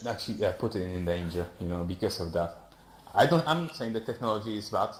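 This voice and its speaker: A man speaks with a non-native accent. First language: not English. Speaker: audience member asking questions. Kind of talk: heated debate. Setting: virtual reality platform. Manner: halting, stammering.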